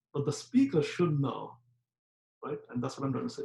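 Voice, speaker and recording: This male voice is somewhat breathy. It sits at a fairly high pitch. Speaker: professor. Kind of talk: lecture. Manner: fast; frequent filler words.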